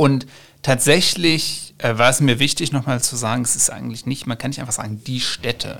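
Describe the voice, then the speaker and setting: A man speaks with an ordinary speaking voice. His pitch is medium, with ordinary pitch variation. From western Germany (Ruhr area, Bochum). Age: 30s. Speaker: political scientist, author. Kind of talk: interview.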